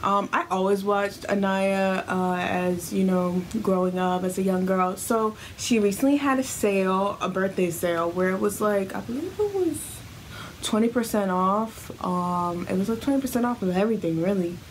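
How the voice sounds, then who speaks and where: A woman speaks at a moderate pace with very even loudness and ordinary pitch variation, over light background noise. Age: 20s. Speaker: beauty vlogger. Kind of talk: unboxing review. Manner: casual, chatty. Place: home room.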